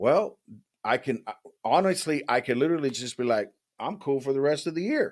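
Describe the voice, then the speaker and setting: A man speaks at a moderate pace in an unremarkable speaking voice. His pitch is fairly high. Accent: American. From US West Coast, San Jose California. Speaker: life coach. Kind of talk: casual chat.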